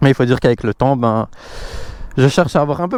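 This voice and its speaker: A man's voice, dry and close with no echo. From Belgium, Brussels. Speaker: motorcycle vlogger. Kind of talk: casual vlog presentation. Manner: hesitant, many fillers.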